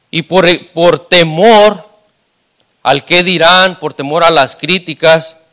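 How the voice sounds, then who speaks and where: A man talks at a very slow pace with a high pitch. His intonation stays fairly even. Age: 30s. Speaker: lay preacher. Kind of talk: sermon. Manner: halting, many repetitions.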